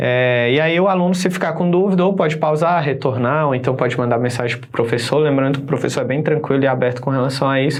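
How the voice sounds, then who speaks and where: A man at medium pitch, fairly quick, with ordinary pitch variation, audible room echo and noticeable background noise. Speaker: teacher. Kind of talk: lecture. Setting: live online class on camera.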